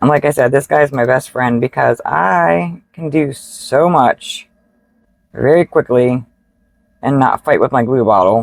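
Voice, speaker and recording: Heard in a dry, close sound with no echo, the voice has vocal fry and lively intonation at a fairly slow pace. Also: woman, very deep, low pitch for a woman. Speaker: card making crafter. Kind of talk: tutorial. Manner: casual, with fillers.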